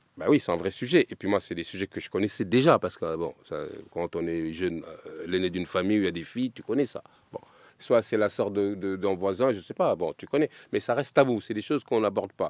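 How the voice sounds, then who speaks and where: The voice moves at a fairly quick pace with ordinary pitch variation, and the sound is dry and close with no echo. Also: man, fairly low pitch for a man. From Paris. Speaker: griot and storyteller. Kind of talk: podcast interview. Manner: halting.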